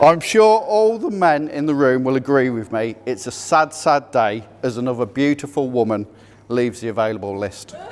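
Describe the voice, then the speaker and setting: A man's medium-pitched voice, with lively intonation and a moderate pace, over noticeable background noise. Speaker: best man at a wedding. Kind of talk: wedding speech. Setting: wedding reception.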